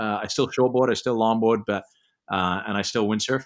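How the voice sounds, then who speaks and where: A man speaks with an English accent at medium pitch. The recording is very clean, with a silent background. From England. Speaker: sports organization CEO, former pro windsurfer. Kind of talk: interview.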